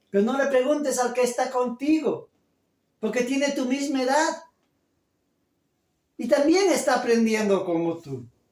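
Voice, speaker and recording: In a room with audible echo, a man with an extremely high pitch and ordinary pitch variation speaks at a fairly slow pace, leaving long, frequent pauses. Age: 50s. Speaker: pastor. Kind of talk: sermon.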